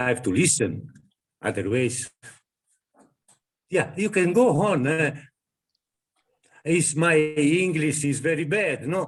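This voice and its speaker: A somewhat breathy man with an Italian accent speaks at a fairly high pitch and a fairly slow pace, using lively intonation. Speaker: ashram devotee. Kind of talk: spiritual group discussion. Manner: halting.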